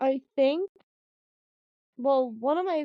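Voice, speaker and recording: Recorded with a dry, close sound and no echo, a woman speaks in a dark, mellow tone with lively intonation. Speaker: podcast co-host. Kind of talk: casual chat. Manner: hard to understand.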